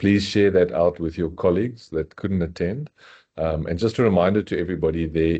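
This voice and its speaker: A man with a very deep, low pitch speaks in a dark, mellow tone with fairly even intonation. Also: quiet background. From South Africa. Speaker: software company executive. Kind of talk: webinar introduction.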